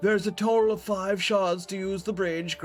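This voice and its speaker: Over clear background noise, a man puts on a character voice with a high pitch. He speaks at a moderate pace. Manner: menacing, growling.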